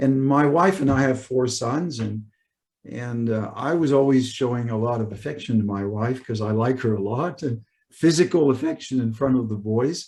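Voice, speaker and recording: With a Canadian accent, a man speaks in an unremarkable speaking voice at medium pitch, with ordinary pitch variation and a moderate pace. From Canada. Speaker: high school teacher and summit speaker. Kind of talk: conference presentation.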